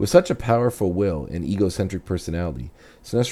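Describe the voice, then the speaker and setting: A man with a very deep, low voice talks at a very fast pace with lively intonation. His tone is dark and mellow, with vocal fry. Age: 30s. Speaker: podcast host. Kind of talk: scripted narration; casual monologue.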